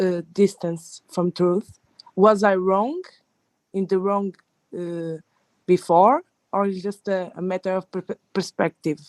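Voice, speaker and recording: A woman's medium-pitched voice, very slow and fairly even in intonation, with a dry, close sound and no echo. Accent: non-native. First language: not English. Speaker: audience member asking a question. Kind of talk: question in live Q&A. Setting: Clubhouse audio room. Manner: halting.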